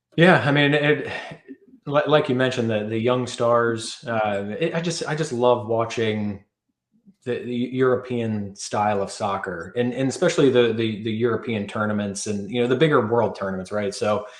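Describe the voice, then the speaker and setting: A man with an American accent speaks at a medium pitch. There is audible room echo. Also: ordinary pitch variation, moderate pace. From US, Cincinnati. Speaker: sports podcast host. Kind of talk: casual chat.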